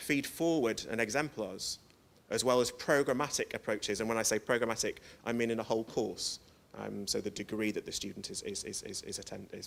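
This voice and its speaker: A man with a northern English accent, medium pitch, ordinary pitch variation and a fairly quick pace. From northern England. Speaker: educational developer, conference speaker. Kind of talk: conference presentation. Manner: fast; hesitant, many fillers.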